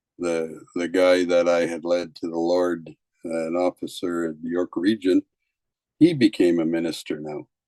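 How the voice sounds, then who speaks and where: A dark, mellow voice speaks at a moderate pace with monotone, flat intonation in a dry, close sound with no echo. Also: man, very deep, low pitch for a man. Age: 70s. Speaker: retired police officer. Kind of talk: testimony. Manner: halting, many fillers.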